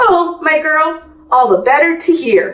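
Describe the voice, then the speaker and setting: In a put-on character voice, squeaky and extremely high in pitch, a woman speaks at a fairly slow pace. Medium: read story.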